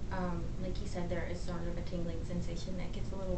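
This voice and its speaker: A woman talks at a fairly quick pace while loud background noise carries on. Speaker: medical provider giving the vaccine. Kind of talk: explaining a medical procedure to a patient. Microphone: camera far.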